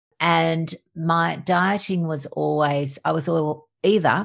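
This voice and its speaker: An Australian accent is heard over a quiet background. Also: woman. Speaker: doctor. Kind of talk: casual interview.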